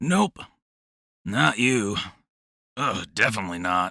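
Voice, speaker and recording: Putting on a character voice, a man speaks raspily at a fairly low pitch and a fairly slow pace. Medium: audio drama.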